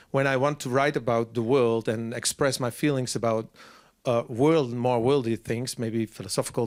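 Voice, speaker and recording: Speaking with a Frisian accent, a man keeps a medium pitch and fairly even intonation at a moderate pace. The recording is very clean, with a silent background. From Friesland, Netherlands. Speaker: singer-songwriter. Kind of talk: interview. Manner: halting.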